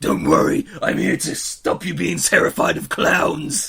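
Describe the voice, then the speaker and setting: A man does a put-on character voice at a moderate pace. The voice is gravelly and raspy. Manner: menacing.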